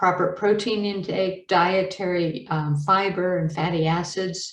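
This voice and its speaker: A woman talks in a plain, everyday voice at a medium pitch. Her pace is fairly slow, with ordinary pitch variation. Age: 60s. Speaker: medical educator presenter. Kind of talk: webinar lecture. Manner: casual with many fillers.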